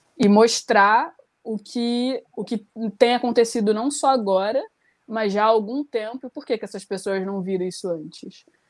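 In an ordinary speaking voice, a woman with a fairly high pitch talks at a moderate pace, with ordinary pitch variation and big swings in loudness. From Rio de Janeiro, Brazil. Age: 20s. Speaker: poet. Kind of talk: panel discussion.

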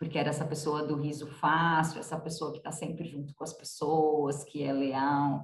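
In a São Paulo accent, a woman talks at a moderate pace with a very deep, low pitch and monotone, flat intonation, and audible room echo surrounds her voice. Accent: Brazilian Portuguese, paulistano. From Brazil, São Paulo city. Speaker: nonprofit co-founder and president. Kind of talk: interview.

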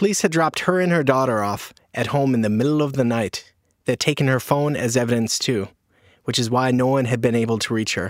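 A man's normal speaking voice at medium pitch, fairly quick in pace with ordinary pitch variation. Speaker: podcast reporter. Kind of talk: dramatic narration. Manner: measured, somber, storytelling.

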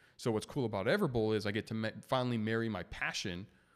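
A normal speaking voice comes from a man with an American accent and a fairly low pitch. He talks at a fairly quick pace on a very clean recording with a silent background. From US West Coast, San Diego. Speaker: restaurant chain founder and CEO. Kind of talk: casual interview.

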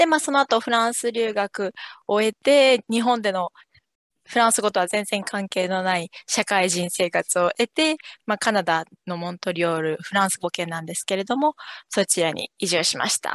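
A woman uses an ordinary speaking voice at a medium pitch. She keeps a moderate pace with lively intonation. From Japan, Yokohama. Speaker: French teacher. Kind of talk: interview.

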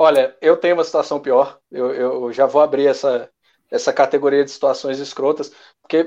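A man's normal speaking voice, with ordinary pitch variation, a moderate pace and a quiet background. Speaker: podcast co-host. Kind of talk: casual chat. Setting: recording from home.

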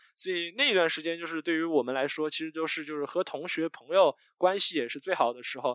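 Talking very fast with hardly any pauses, a man uses a fairly high pitch, and the sound is dry and close with no echo. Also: ordinary pitch variation. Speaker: podcast host, guest here. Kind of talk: casual interview. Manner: energetic, youthful.

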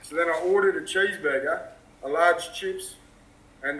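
A man with an Australian accent speaks at a moderate pace. His pitch is high for a man, and his intonation is fairly even. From Western Australia (Perth). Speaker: random video chat stranger. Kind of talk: casual chat. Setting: outdoors.

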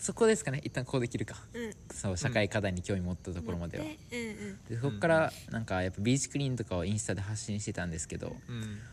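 Speaking at a very fast pace, a man uses a fairly low pitch and lively intonation. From Okinawa. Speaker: social activist. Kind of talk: casual interview.

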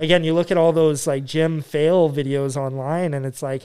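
A man with a Canadian accent has a plain, everyday voice, a fairly high pitch for a man, ordinary pitch variation and a moderate pace. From Yukon, Canada. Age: 30s. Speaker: gym owner. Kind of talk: casual chat.

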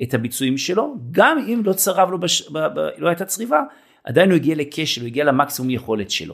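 Talking at a fairly quick pace, a man with a fairly high pitch swings very widely in pitch. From Israel, kibbutz. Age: 50s. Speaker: fitness trainer. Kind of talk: casual interview. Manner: hesitant fillers.

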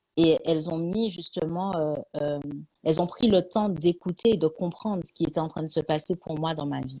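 Fairly low in pitch with a dark, mellow tone, a woman talks at a moderate pace with fairly even intonation. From Martinique. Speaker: author and life coach. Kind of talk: live-streamed interview. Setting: live stream.

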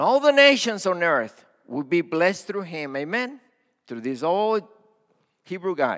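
In a Spanish accent, a man with a high voice talks at a fairly slow pace, his pitch swinging very widely and his speech broken by long, frequent pauses. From Mexico-Texas border (Matamoros/Brownsville). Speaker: pastor, missions leader. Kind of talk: sermon. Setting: church.

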